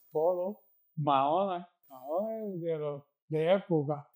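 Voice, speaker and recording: A man with a Puerto Rican accent and a dark, mellow tone. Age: 80s+. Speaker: community elder. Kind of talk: oral history interview answer.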